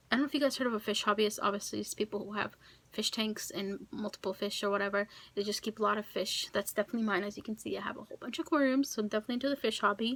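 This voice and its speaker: Very fast speech with ordinary pitch variation. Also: woman, fairly high pitch for a woman. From Kosovo, left as a child. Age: 20s. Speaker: YouTuber. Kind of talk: casual Q&A vlog.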